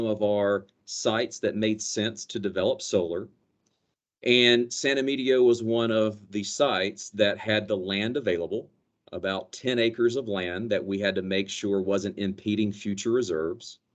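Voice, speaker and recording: Speaking with a slight Southern US accent, a man with a fairly low voice keeps a moderate pace and ordinary pitch variation. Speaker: company energy director. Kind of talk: business presentation.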